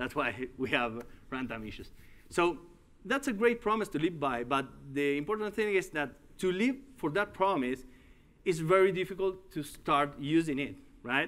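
A man talks with a Uruguayan accent at a fairly high pitch and a moderate pace. His pitch swings very widely, and he takes long, frequent pauses. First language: Spanish. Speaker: tech company executive and conference speaker. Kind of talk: tech conference talk. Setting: stage with audience. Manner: halting. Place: hall.

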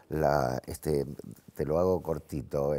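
A very slow voice with vocal fry and a dark, mellow tone against a quiet background. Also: man. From Argentina, Buenos Aires. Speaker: actor; talk show guest. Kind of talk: TV talk show interview. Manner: halting, many fillers. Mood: reflective, earnest. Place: studio. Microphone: lapel.

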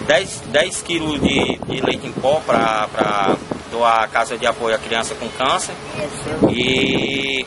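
A man speaks at a very slow pace with ordinary pitch variation. Loud background noise runs underneath. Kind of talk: interview answer. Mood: calm, proud of charity drive. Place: street. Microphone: phone near.

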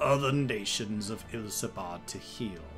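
A man performs in a put-on character voice at a fairly slow pace. Clear music plays in the background. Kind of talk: dramatic game character voice-acting. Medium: game stream. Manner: gruff, sardonic, then solemn.

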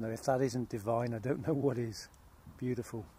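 With fairly even intonation, a man talks at a moderate pace in a medium-pitched, dark, mellow voice. Audible room echo surrounds him.

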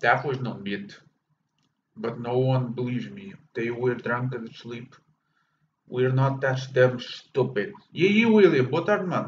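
A man with a medium-pitched, somewhat breathy voice and lively intonation. He talks at a fairly slow pace, with long, frequent pauses. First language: Portuguese. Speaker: gaming streamer. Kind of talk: live gameplay commentary. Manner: animated.

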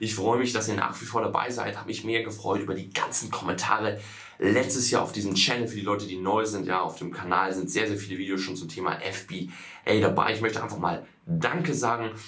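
Fairly low in pitch, a man talks at a fairly quick pace. His pitch varies in an ordinary way. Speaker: online business coach. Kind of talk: casual vlog chat. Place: office.

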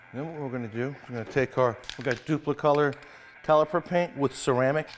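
Faint music plays in the background as a man talks at a very fast pace with ordinary pitch variation. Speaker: mechanic show host. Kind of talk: tutorial. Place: garage.

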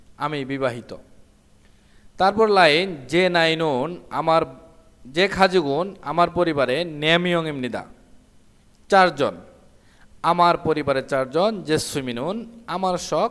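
Fairly high in pitch, a man talks in a plain, everyday voice with ordinary pitch variation. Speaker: Korean language teacher. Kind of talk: tutorial.

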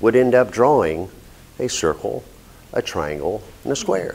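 A man talks, taking a fairly slow pace. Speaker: speaker. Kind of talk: prepared speech. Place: meeting room.

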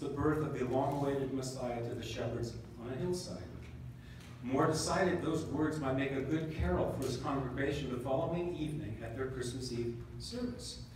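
Strong room echo and light background noise surround a man speaking at a fairly quick pace with ordinary pitch variation. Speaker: band member narrator. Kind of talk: reading a story aloud at a concert. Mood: calm storytelling. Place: hall.

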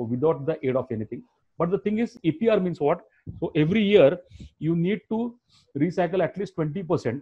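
Against a quiet background, a man with a high pitch speaks with lively intonation. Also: moderate pace. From India. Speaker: business trainer. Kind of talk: online training session. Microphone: video call.

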